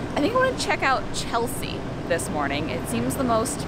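A woman speaks at a moderate pace, the sound dry with no echo despite loud background noise. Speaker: travel vlogger. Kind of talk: casual vlog chat. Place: garden. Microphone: phone near.

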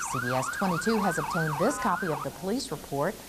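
Over music in the background, a woman with a fairly low pitch talks at a moderate pace with very wide pitch swings. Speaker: TV news reporter. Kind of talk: formal TV newsreading, polished broadcast delivery. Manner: formal, steady, even-paced.

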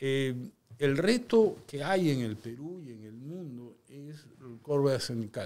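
A man speaks at a very slow pace with a fairly high pitch. His intonation is lively. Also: big swings in loudness. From Peru, Lima; Peru. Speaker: mining engineer and company director; guest. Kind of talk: interview conversation. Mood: reflective, storytelling. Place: studio. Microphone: studio mic.

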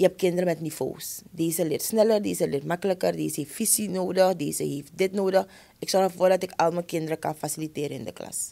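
Talking at a very fast pace, a woman has a fairly low pitch, a dark, mellow tone and vocal fry. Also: ordinary pitch variation, hardly any pauses, big swings in loudness. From Suriname. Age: 30s. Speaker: schoolteacher. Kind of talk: interview conversation. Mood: earnest, passionate about teaching. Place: studio. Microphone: studio mic.

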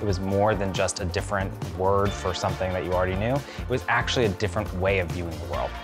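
Clear music plays in the background. A man with a fairly low pitch speaks at a very fast pace. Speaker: company lawyer. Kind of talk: interview answer. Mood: reflective, warm. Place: garden. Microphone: lapel.

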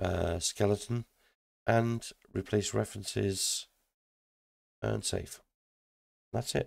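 The man speaks at a very slow pace. Long pauses come often. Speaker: indie game developer. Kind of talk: software tutorial. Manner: casual, thinking aloud.

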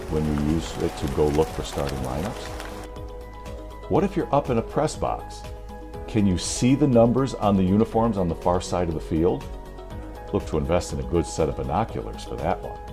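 Against clear music in the background, a man with a very deep, low pitch speaks at a moderate pace with long, frequent pauses. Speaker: public address announcer instructor. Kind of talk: tutorial. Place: home room.

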